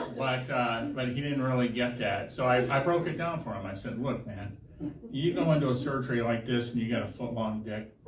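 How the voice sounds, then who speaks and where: Here a man talks at a fairly quick pace with a medium pitch. Audible room echo and noticeable background noise surround him. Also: ordinary pitch variation. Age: 60s. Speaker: stand-up comedian. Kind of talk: stand-up. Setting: stage with audience. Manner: halting.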